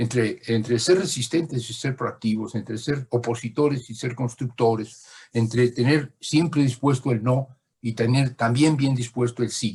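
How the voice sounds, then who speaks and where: On a very clean recording with a silent background, a man speaks somewhat breathily at a fairly slow pace with fairly even intonation. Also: medium pitch for a man. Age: 80s+. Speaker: lecturer. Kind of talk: lecture. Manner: halting.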